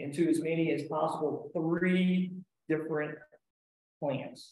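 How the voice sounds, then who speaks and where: A man's high voice with an American accent. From US Southeast. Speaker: park ranger and naturalist. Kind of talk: lecture. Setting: presentation to a society audience with slides.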